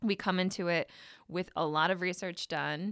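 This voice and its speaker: In a very clean recording with a silent background, a woman with vocal fry talks at a moderate pace with fairly even intonation. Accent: American. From Michigan. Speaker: journalist. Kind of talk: casual chat. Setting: studio.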